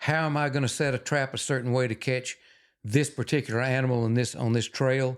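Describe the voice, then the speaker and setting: A man with a Texan accent speaks at a fairly quick pace in a medium pitch, his intonation flat and monotone, on a very clean recording with a silent background. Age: 70s. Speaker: wildlife photographer and former trapper. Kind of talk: casual interview chat.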